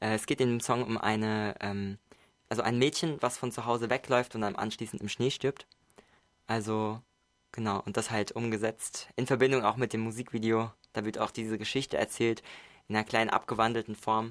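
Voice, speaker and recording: Monotone, flat intonation runs through a man's medium-pitched voice. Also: moderate pace. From Mainz, Germany. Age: 20s. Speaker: singer-songwriter and music producer. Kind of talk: radio interview. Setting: radio studio.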